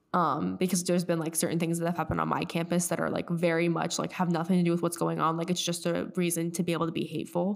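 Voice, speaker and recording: Delivered with an American accent, the speech is very fast, with hardly any pauses, flat monotone intonation and very even loudness. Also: woman, fairly low pitch for a woman. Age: young. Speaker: podcast co-host, college student. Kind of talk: casual chat. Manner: halting.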